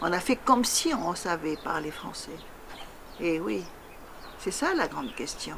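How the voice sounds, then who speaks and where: Very slow with long, frequent pauses, a woman's fairly low voice moves in very wide pitch swings against noticeable background noise. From French Polynesia (Tahiti). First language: Tahitian (speaking French). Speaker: poet. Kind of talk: interview. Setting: interview in Paris. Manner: halting, many hesitations.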